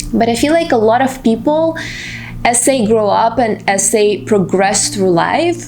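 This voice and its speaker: In a Russian accent, a woman talks at a fairly slow pace with very wide pitch swings. Audible room echo and noticeable background noise are present. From Russia, Moscow. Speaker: vlogger. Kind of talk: personal vlog monologue.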